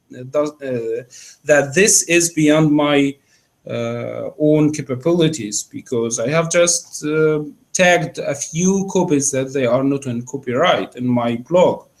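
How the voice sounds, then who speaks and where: A man with an Arabic accent, a fairly high pitch, ordinary pitch variation and a very slow pace. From Egypt. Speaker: academic researcher. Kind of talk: Q&A discussion after lecture. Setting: seminar room, live-streamed. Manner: halting, many fillers.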